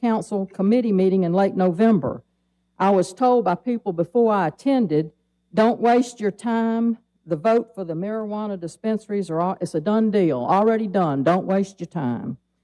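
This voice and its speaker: A woman's dark, mellow tone at medium pitch and moderate pace, with ordinary pitch variation and a dry, close sound with no echo. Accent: Alabama. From Mobile, Alabama (US South). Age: 70s. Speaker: public commenter, retiree. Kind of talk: public comment at city council. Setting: city council meeting.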